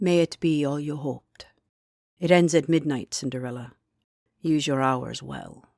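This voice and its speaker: A rumbling, put-on character voice sits at a low-to-middle pitch. It moves at a moderate pace with long, frequent pauses. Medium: read story.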